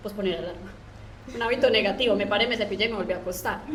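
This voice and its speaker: A woman speaks with an Antioquian accent at a medium pitch, her intonation fairly even. The room echo is audible and the background noise is noticeable. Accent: paisa Colombian. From Colombia, Antioquia (paisa). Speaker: software developer and online course instructor. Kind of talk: podcast interview.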